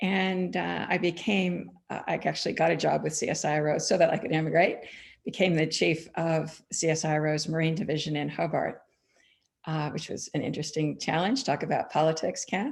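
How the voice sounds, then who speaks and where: With an American accent and vocal fry, a woman speaks at a fairly quick pace in a very deep, low pitch over a quiet background. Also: ordinary pitch variation. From US (California). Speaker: wool grower, former climate scientist. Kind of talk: panel discussion. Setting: online forum.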